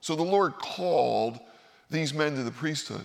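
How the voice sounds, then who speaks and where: A man with an American accent talks at a fairly slow pace in a plain, everyday voice. His pitch is fairly high, with ordinary variation. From Philadelphia, US. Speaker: pastor. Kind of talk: sermon. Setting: church.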